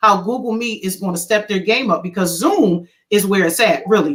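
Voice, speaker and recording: With a Philadelphia accent, a woman speaks at a fairly high pitch. Her intonation is lively and her pace moderate. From Philadelphia, US. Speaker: educator. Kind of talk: video call panel presentation.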